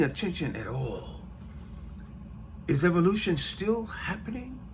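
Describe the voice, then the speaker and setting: Audible room echo surrounds a man with an American accent speaking at a fairly slow pace. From United States. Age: 60s. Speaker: podcast host. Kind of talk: podcast monologue. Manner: halting, with self-corrections and repeated words.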